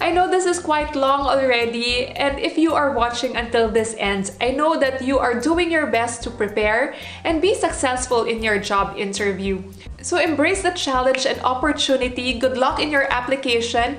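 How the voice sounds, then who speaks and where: Heard over noticeable background noise and audible room echo, a woman speaks at a moderate pace in a high pitch with ordinary pitch variation. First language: not English. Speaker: former flight attendant, vlogger. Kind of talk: advice vlog.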